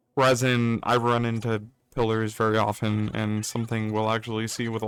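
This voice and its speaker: A man with an unremarkable speaking voice talks at a moderate pace with a medium pitch. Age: 30s. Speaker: gaming YouTuber. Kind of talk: gameplay commentary. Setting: home recording, wrong mic. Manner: casual, rambling.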